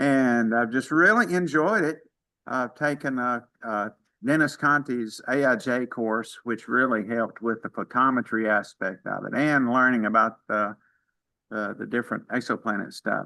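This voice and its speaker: Against a quiet background, a man with a Mississippi accent speaks in a bright, sharp tone with ordinary pitch variation. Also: medium pitch for a man, moderate pace. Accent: Southern US (Mississippi). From Mississippi, US South. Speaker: amateur astronomer, retired dentist. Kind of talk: casual self-introduction in online meeting.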